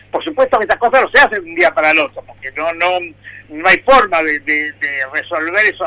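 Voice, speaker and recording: At a fairly quick pace, a man with a high pitch and a bright, sharp tone speaks with lively intonation. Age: 60s. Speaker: public pension agency head. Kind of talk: radio interview. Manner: halting, many fillers.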